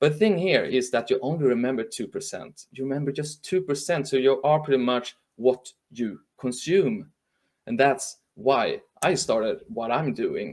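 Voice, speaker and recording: With a Swedish accent, a man speaks at a moderate pace in a fairly high pitch and with lively intonation. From northern Sweden. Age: 40s. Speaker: journalist and trend speaker. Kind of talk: webinar talk. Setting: live stream from home. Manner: halting.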